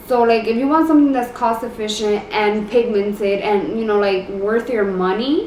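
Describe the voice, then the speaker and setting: Amid noticeable background noise and audible room echo, a woman speaks at a moderate pace with a fairly high pitch. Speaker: beauty youtuber. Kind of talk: makeup tutorial. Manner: casual, filler-heavy; halting.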